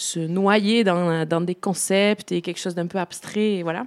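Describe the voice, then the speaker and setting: A woman with an ordinary speaking voice talks at a fairly slow pace with ordinary pitch variation. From Béarn, southwest France. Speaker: musician and singer. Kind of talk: casual interview.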